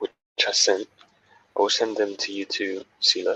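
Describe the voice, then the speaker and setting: The sound is dry and close with no echo as a man speaks. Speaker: developer teaching a coding tutorial. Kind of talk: screen-share coding tutorial.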